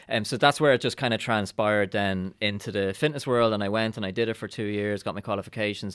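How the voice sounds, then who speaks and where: A man with an Irish accent speaks at a fairly quick pace. His pitch is fairly low and his intonation fairly even. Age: 40s. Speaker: actor and writer. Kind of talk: casual chat.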